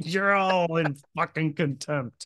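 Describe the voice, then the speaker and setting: Against a quiet background, a man with a Midwestern US accent speaks with fairly even intonation. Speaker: podcast host. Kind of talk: casual podcast storytelling. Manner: halting.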